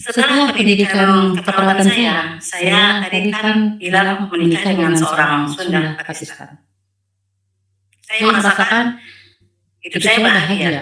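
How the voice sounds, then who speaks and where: A woman with a Sumatran accent, at medium pitch and a fairly slow pace, with ordinary pitch variation. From North Sumatra, Asahan Regency. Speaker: convert giving testimony. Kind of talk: testimony. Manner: halting.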